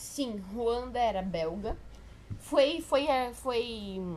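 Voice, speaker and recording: A woman's fairly high pitch with ordinary pitch variation. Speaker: history tutor. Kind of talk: informal exam review lecture. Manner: casual, halting with self-corrections.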